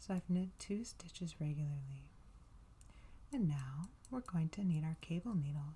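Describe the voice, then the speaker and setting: The speaker is soft-spoken, with a relaxed tone. The pace is moderate, broken by long, frequent pauses. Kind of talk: ASMR knitting tutorial. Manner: soft-spoken, relaxed.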